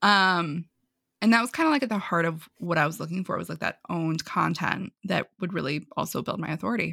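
A woman with a New York accent talks at a fairly quick pace, her fairly low voice bright and sharp in tone, the sound dry and close with no echo. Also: ordinary pitch variation, very clean recording, silent background. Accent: New York American. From US Northeast, New York. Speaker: marketing consultant. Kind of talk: casual interview. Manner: fast talker.

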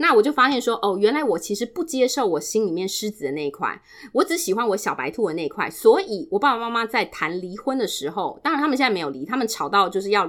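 Loud and animated, a woman speaks at a very fast pace and fairly high pitch with hardly any pauses and very wide pitch swings, on a very clean recording with a silent background. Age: 40s. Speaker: guest sharing life story. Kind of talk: personal testimony. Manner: animated, frequent loud laughter.

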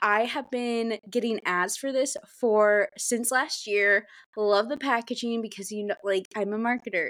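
A woman's normal speaking voice, with fairly even intonation and hardly any pauses, in a dry, close sound with no echo on a very clean recording with a silent background. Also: fairly high pitch for a woman, fairly slow pace. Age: 20s. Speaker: podcast co-host, social media manager. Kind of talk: casual chat.

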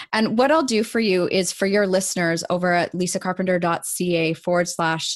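A woman with a Canadian accent speaks in a normal speaking voice at fairly low pitch, moderate pace and ordinary pitch variation. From Canada. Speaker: coach and author. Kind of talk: interview. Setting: video call.

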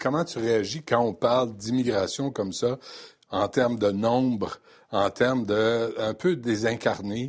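At a very slow pace, a man speaks at medium pitch with ordinary pitch variation over a quiet background. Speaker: radio host. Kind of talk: interview.

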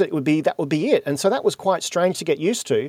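Speaking at a very fast pace with a high pitch, a man with an Australian accent comes through in a dry, close sound with no echo. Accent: Australian, said to sound a bit posh. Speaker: podcast host and keynote speaker. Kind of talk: interview conversation. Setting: video call.

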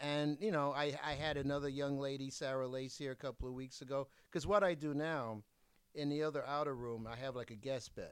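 The speech moves at a fairly quick pace. It is an unremarkable speaking voice. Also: man, fairly high pitch for a man, fairly even intonation. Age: 60s. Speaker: adult magazine publisher. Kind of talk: casual chat. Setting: at home.

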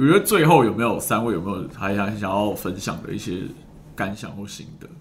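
A man's fairly low voice with lively intonation at a fairly quick pace, over noticeable background noise. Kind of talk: casual podcast conversation. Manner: animated, talkative.

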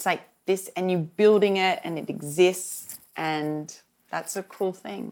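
A woman with an Australian accent and fairly even intonation, on a very clean recording with a silent background. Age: 40s. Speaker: television journalist and fashion entrepreneur. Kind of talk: interview conversation.

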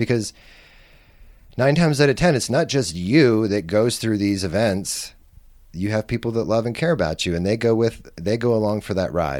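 This man talks at a moderate pace with a fairly low voice and lively intonation. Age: 40s. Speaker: drug policy activist and community organizer. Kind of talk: casual chat. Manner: relaxed, laid-back.

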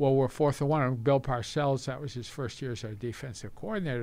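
A fairly high-pitched man with a plain, everyday voice, moving at a fairly quick pace. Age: 60s. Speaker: retired football team executive. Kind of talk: casual interview.

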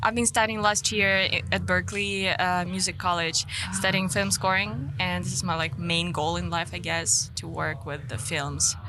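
Spoken at a moderate pace with a Ukrainian accent, the voice makes very wide pitch swings. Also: woman, very deep, low pitch for a woman. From Ukraine. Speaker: singer. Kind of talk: interview. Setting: in person at music event.

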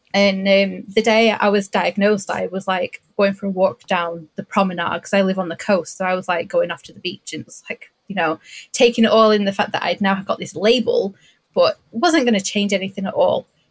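This fairly quick, somewhat breathy delivery holds a fairly even intonation. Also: woman, medium pitch for a woman. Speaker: podcast guest. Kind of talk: casual chat.

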